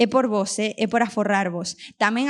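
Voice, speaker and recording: On a very clean recording with a silent background, a woman with an Argentine accent talks at a medium pitch. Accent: Argentine accent in Galician. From Argentina, moved to Vigo at ten. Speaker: podcast host. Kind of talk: live podcast with audience, comedic monologue. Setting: stage with live audience.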